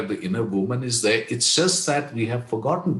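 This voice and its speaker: A somewhat breathy voice with an Indian accent and audible room echo. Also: man. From India, Kashmir. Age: 70s. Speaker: leadership coach. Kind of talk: podcast interview.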